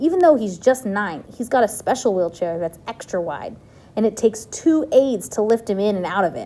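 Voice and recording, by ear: The speaker reads aloud naturally. Lively intonation runs through the reading.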